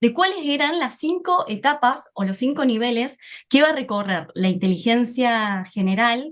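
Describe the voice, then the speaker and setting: A woman speaks at a moderate pace with a non-native accent. Her high pitch moves in very wide swings. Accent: foreign accent noticeable (non-Spain). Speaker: AI business speaker. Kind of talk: webinar presentation.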